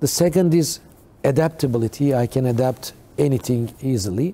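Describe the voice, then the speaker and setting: In a Turkish accent, the speaker uses a dark, mellow tone and lively intonation at a fairly slow pace. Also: man. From Turkey. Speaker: company CEO. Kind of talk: TV talk show interview. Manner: halting.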